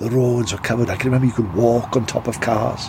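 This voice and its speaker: Noticeable background noise accompanies a man talking at a fairly quick pace with a medium pitch. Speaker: podcast host and actor. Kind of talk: spooky fiction, telling a ghost story in character.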